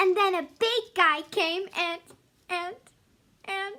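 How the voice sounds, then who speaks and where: A woman speaks very slowly in a cartoonish character voice pitched extremely high. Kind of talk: puppet story reading.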